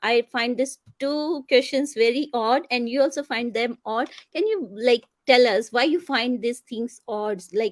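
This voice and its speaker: Here a woman with an Indian accent talks at a fairly slow pace, her high pitch showing ordinary pitch variation. The sound is dry and close with no echo. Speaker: talk show host. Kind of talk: interview.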